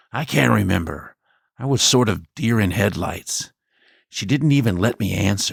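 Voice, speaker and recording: A man puts on a character voice, pitched fairly low and delivered at a moderate pace. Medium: read story. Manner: plain, laconic.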